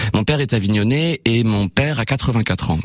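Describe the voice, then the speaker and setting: Noticeable background noise is present. A man speaks at a fairly low pitch with lively intonation. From Normandy, France (Évreux). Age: 30s. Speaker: playwright and theatre director. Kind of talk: radio interview. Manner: hesitant, with fillers.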